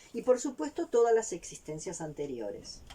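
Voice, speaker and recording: Her voice, dark and mellow and somewhat breathy, moves at a fairly slow pace with very wide pitch swings. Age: 60s. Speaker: vlogger. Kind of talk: personal testimony.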